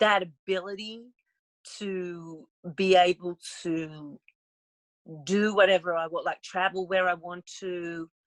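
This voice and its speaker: A woman with an Australian accent and medium pitch, very slow pace with long, frequent pauses, monotone, flat intonation, big swings in loudness, and a dry, close sound with no echo. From Australia, Melbourne. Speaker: podcast guest, talk show creator and doctoral candidate. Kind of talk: casual interview chat. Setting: podcast interview.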